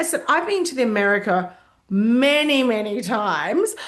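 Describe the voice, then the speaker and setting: A woman speaks at a moderate pace with a fairly high pitch and an Australian accent. Her pitch swings very widely. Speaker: hospitality consultant. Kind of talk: casual talk to camera. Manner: conversational with fillers.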